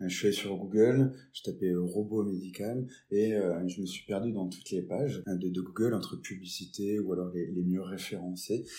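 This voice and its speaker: In a very deep, low pitch and a dark, mellow tone, a man speaks at a moderate pace with fairly even intonation. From Lorraine, France (Nancy). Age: 20s. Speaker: robotics entrepreneur. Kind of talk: interview. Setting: video interview. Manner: hesitant, repetitive fillers.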